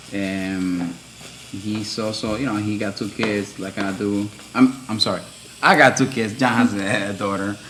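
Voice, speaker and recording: A man's fairly low voice, fairly slow pace and fairly even intonation, with noticeable background noise. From Dominican Republic. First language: Spanish. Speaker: tattoo artist. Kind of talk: casual chat. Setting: live stream. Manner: hesitant, many fillers.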